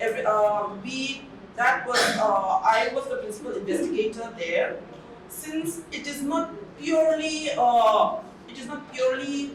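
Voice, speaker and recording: With audible room echo and noticeable background noise, a woman talks at a fairly slow pace, her pitch swinging very widely. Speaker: college head of psychology department. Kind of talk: formal review meeting presentation. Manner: loud.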